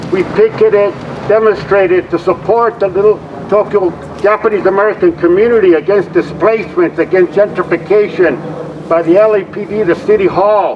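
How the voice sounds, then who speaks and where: A man talks at a fairly quick pace with a high pitch. Noticeable background noise runs beneath him. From Los Angeles, Boyle Heights (Mexican-born, moved at five). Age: 70s. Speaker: community activist. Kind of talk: rally speech. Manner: animated.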